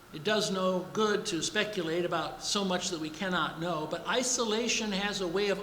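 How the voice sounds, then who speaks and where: Noticeable background noise can be heard throughout. The delivery keeps a moderate speed. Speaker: pastor. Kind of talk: recorded church meditation.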